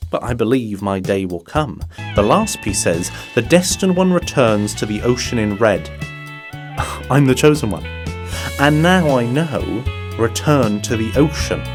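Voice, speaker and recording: With music in the background, a man speaks in a medium pitch that swings very widely up and down. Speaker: voice actor. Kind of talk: animated short film narration.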